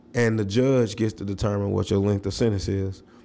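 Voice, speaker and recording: Spoken at a moderate pace with an American accent, the voice has a dark, mellow tone and fairly even intonation. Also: man. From US South, Nashville, Tennessee. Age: 30s. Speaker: comedian and chef. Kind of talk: casual interview.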